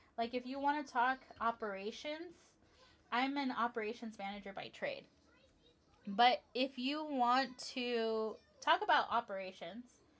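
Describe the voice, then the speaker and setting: Speaking at a fairly slow pace with long, frequent pauses, a woman uses a high pitch with ordinary pitch variation. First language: Spanish. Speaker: livestreamer building toy sets. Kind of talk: casual livestream chat. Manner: chatty, with frequent fillers and self-corrections.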